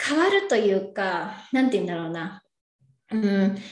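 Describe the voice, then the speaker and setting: A woman speaks at a moderate pace with lively intonation, and the room echo is audible. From Japan, Yokohama. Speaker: advisor. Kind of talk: casual chat.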